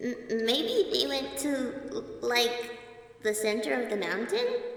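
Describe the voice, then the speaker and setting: A female-sounding put-on character voice speaks at a fairly slow pace, with a clear echo and light background noise. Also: fairly high pitch for a woman. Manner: nervous, stuttering.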